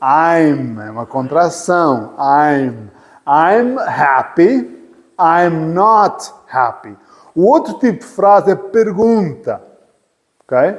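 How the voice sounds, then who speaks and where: The speaker talks at a very slow pace in a European Portuguese accent, with very wide pitch swings and big swings in loudness. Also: man, high pitch for a man. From Portugal. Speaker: English teacher. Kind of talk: lecture. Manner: repetitive.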